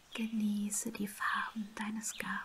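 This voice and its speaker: Amid loud background noise, a woman with a fairly high pitch speaks at a very slow pace in a monotone, flat intonation. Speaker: ASMR and meditation creator. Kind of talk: guided meditation. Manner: soft-spoken, slow, calm. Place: home room.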